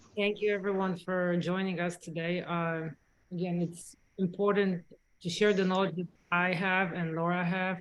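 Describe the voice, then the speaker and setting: A woman with a slight Polish accent speaks at a medium pitch and a moderate pace, her intonation monotone and flat. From Poland. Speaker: dentist. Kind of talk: webinar presentation. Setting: online webinar, sitting with a colleague.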